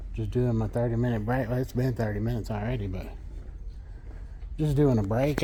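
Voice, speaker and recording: Male speaker in an American accent, the room's echo audible around him. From Texas. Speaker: truck driver vlogger. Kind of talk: casual vlog narration.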